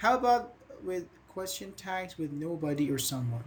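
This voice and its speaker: In a Persian accent, a man talks at a very slow pace with lively intonation, and the room echo is audible. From Iran. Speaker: English teacher. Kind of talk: online class.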